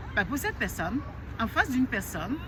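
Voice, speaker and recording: A woman speaks loudly in a high pitch. The room adds audible echo. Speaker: life coach. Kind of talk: motivational talk to camera.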